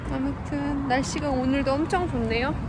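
A woman at a moderate pace, dry with no echo, over loud background noise. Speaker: vlogger. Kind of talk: casual vlog chat. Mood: relaxed cheerful. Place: street. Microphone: phone near.

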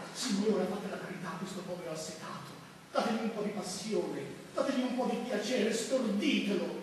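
A man's high voice at a moderate pace, with ordinary pitch variation, strong room echo and light background noise. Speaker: stage actor. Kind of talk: theatrical monologue. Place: stage. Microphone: camera far.

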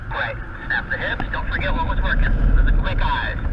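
A man's voice amid loud background noise. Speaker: paragliding instructor. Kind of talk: coaching instructions. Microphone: two way radio.

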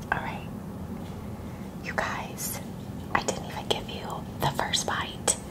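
A woman amid loud background noise. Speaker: ASMR mukbang creator. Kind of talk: casual talk to camera. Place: home room.

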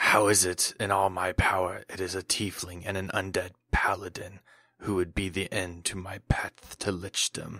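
In a put-on character voice, a man talks at a moderate pace with a very deep, low pitch, a raspy, hissing sound and monotone, flat intonation. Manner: hissing, contemptuous.

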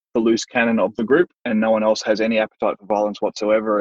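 Here is a man with an Australian accent and a fairly low pitch. He talks at a fairly quick pace. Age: 30s. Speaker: martial arts instructor. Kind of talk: casual interview. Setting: remote recording.

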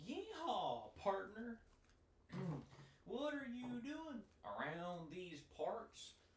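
A put-on character voice sits fairly high and swings its pitch very widely. It goes very slowly with long, frequent pauses over clear background noise. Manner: exaggerated, comic.

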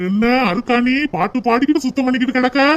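A man puts on a cartoonish character voice pitched extremely high, speaking at a moderate pace. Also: ordinary pitch variation.

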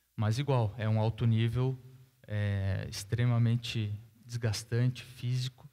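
With a southern Brazilian accent, the voice moves at a very slow pace in a dark, mellow tone, with flat, monotone intonation and very even loudness. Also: man. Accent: gaúcho Brazilian Portuguese. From southern Brazil, Rio Grande do Sul (Caxias do Sul); Rio Grande do Sul, Brazil. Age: 30s. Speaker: professional tennis player; guest. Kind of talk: panel interview on stage; interview answer. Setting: stage with audience. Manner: hesitant, with fillers. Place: hall.

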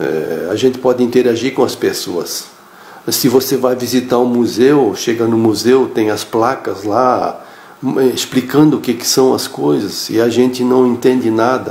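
At a fairly slow pace, a man speaks with fairly even intonation amid audible room echo. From Blumenau, Santa Catarina, Brazil. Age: 60s. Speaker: course student giving testimonial. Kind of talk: testimonial. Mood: calm, friendly. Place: home room. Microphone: phone near.

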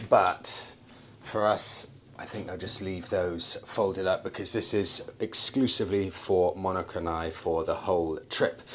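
A man speaks at a fairly slow pace in a fairly low pitch. Light background noise is present. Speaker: travel vlogger. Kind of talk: casual vlog chat. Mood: upbeat, pleased. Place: boat. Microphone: phone near.

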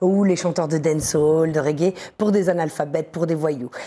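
Her voice is dark and mellow, fairly low for a woman, with ordinary pitch variation as she talks at a fairly quick pace. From northern France. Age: 40s. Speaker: radio and TV presenter, journalist. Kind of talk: casual interview chat. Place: studio. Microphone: lapel.

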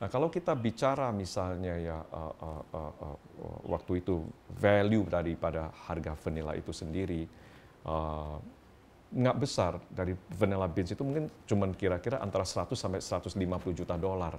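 A man's very deep, low voice at a moderate pace, with ordinary pitch variation and light background noise. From Indonesia. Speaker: company founder and CEO. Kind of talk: interview. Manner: halting. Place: home room.

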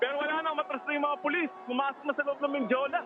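Over noticeable background noise, a man sounds excited and talks at a fairly quick pace. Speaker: field reporter. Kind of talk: live field reporting of a protest clash, rapid breathless play-by-play. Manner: fast, excited, repetitive, urgent; pointing out visible details as they unfold.

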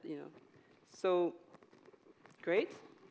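A woman with a French accent, a fairly low pitch, and a moderate pace. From France. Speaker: dancer and choreographer. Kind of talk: panel discussion. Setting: stage with audience. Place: stage. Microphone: headset.

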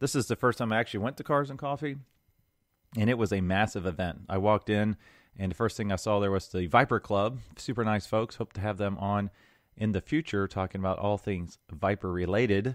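A man's unremarkable speaking voice, fairly low in pitch with ordinary pitch variation, in a dry sound with no echo over a quiet background. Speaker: podcast host. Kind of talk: casual podcast monologue. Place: home room.

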